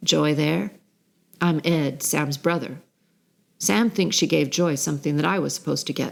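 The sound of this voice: A woman's raspy put-on character voice, very deep and low in pitch, with lively intonation, a moderate pace, and long, frequent pauses.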